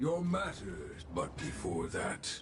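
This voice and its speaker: Putting on a character voice, a man speaks in a calm tone over clear background noise. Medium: video game. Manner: terse, calm.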